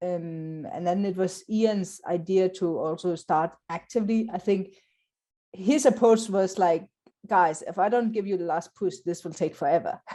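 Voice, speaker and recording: A woman's medium-pitched voice, dark and mellow in tone, with ordinary pitch variation at a moderate pace. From South Africa. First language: not English. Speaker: Scrum trainer. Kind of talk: interview.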